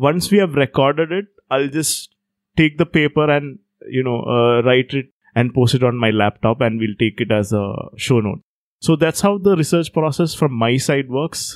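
A man with a fairly high pitch speaks at a moderate pace on a very clean recording with a silent background. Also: ordinary pitch variation, dry, close sound with no echo. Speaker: podcaster, writer. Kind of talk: casual interview chat. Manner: talks less.

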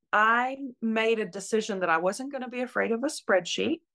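A woman speaks at a moderate pace with ordinary pitch variation. Hers is an ordinary speaking voice. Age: 60s. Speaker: retired nurse. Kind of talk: interview.

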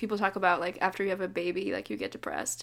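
A woman with an American accent speaks at a medium pitch, her intonation fairly even and touched with vocal fry. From US West Coast, Davis, Northern California. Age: 20s. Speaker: folk singer-songwriter. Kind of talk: interview.

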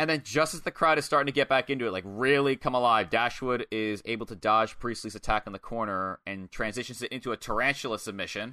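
Bright and sharp in tone, a man at medium pitch talks at a very fast pace with hardly any pauses, sounding animated, with ordinary pitch variation and a dry, close sound with no echo. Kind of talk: wrestling match recap, narrating moves blow by blow like play-by-play. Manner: animated, fast-paced, stumbling to find words mid-description.

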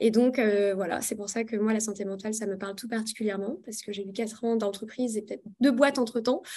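A woman's fairly high, somewhat breathy voice with a dark, mellow tone, fairly even intonation, big swings in loudness and a very fast pace. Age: 30s. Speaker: sexologist. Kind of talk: panel talk.

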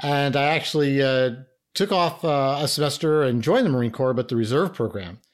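A man with an American accent talks at a fairly quick pace in a normal speaking voice. His pitch is fairly high, and his loudness stays very even. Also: ordinary pitch variation. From US Northeast, New York (Bronx). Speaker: retired intelligence officer. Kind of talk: interview.

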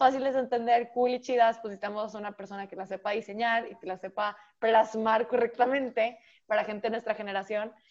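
A woman with a normal speaking voice, fairly even intonation and a fairly quick pace. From Monterrey, Mexico. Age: 19. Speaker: podcast host, university student. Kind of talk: casual chat.

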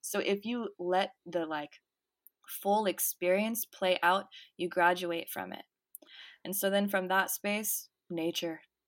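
A woman speaks at a very slow pace in a medium pitch, with monotone, flat intonation and long, frequent pauses. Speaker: spiritual channeler. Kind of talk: casual interview.

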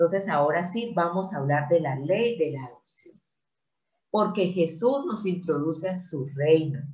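In a room with audible echo, a woman speaks fairly slowly in a very deep, low pitch, her tone dark, mellow and somewhat breathy. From Colombia. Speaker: Bible teacher. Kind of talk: sermon.

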